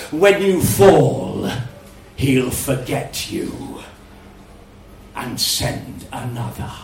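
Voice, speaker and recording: A man's put-on character voice at medium pitch, very slow pace, with long, frequent pauses and a slight echo. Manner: amused, menacing.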